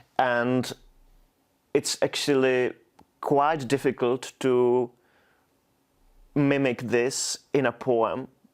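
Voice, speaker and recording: Speaking at a very slow pace with long, frequent pauses, a man with a Czech accent keeps a monotone, flat intonation and very even loudness. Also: medium pitch for a man. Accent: Czech, noticeable. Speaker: poet. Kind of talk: interview. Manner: halting, frequent repetitions.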